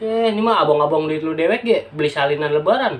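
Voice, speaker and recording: Using lively intonation, a man with a Jakarta accent speaks at a moderate pace in a fairly high voice. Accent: Betawi (outskirts dialect). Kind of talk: dialect demonstration monologue, scolding a younger sister. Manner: casual, chiding.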